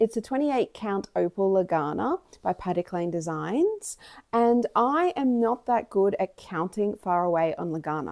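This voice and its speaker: In a very clean recording with a silent background and a dry, close sound with no echo, a woman uses a normal speaking voice of medium pitch, with lively intonation and a moderate pace. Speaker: cross-stitch YouTuber. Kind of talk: casual vlog chat.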